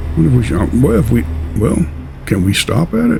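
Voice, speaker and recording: Over noticeable background noise, a man with an American accent speaks at a fairly quick pace, his pitch swinging very widely. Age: 60s. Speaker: truck simulator gaming YouTuber. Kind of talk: casual gameplay commentary.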